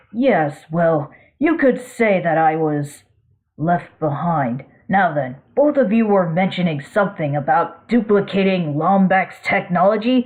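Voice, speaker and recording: A female-sounding voice puts on a character voice at a middle pitch. The delivery moves at a fairly slow pace. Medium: read story. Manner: formal, measured, condescending.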